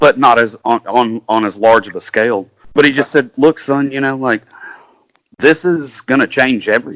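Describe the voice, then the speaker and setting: Speaking in a Kentucky accent, a man holds a medium pitch and a moderate pace with ordinary pitch variation. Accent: Southern US (Kentucky). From Kentucky, US South. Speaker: country singer-songwriter. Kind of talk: casual interview chat.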